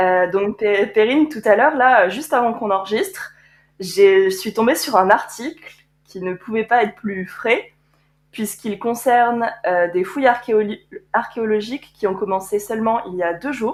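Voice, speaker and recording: Fairly slow and fairly high in pitch, a woman speaks with ordinary pitch variation. Hers is an unremarkable speaking voice. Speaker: podcast co-host, art conservator-restorer. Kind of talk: casual chat.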